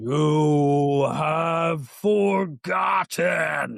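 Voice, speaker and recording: A man performs a put-on character voice pitched fairly high. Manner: mournful.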